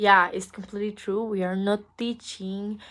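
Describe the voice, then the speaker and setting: A woman speaks with a Spanish accent. Her pitch sits in the medium range. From Costa Rica. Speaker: English language student. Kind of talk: class assignment interview. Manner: halting.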